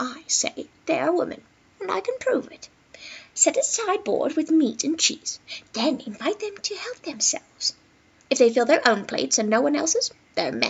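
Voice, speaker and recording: A female-sounding put-on character voice speaks quietly at an extremely high pitch. The pace is moderate. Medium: read story. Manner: quiet, knowing.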